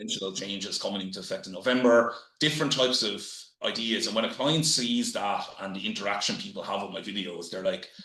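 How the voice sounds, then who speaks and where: With a strong Irish accent, a man talks at a very fast pace in a medium-pitched voice with ordinary pitch variation and audible room echo. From Ireland. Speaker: real estate business development manager. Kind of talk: podcast interview. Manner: halting, many fillers.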